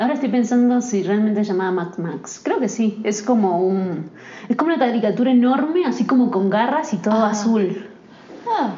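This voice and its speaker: In an Argentine accent, the speaker talks at a moderate pace with lively intonation, amid audible room echo and noticeable background noise. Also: woman, fairly high pitch for a woman. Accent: mild Argentine. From Argentina. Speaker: actress and singer. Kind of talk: interview. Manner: hesitant, many fillers.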